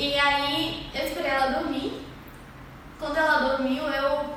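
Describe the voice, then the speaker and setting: A woman with a high pitch speaks at a fairly slow pace. Noticeable background noise and audible room echo surround her. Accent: Pará. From Brazil, Pará coast. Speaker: lettering artist. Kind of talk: casual interview.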